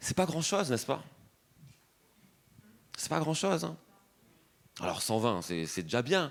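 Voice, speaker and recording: Speaking at a very slow pace with long, frequent pauses, a man uses a medium pitch, very wide pitch swings and vocal fry. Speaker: preacher. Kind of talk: sermon.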